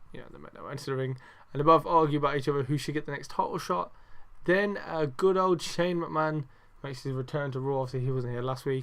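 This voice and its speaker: A quiet man with a British accent, very fast and fairly high-pitched, with big swings in loudness in a very clean recording over a silent background. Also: ordinary pitch variation. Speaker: wrestling podcast host. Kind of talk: casual review monologue. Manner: talking quietly; animated.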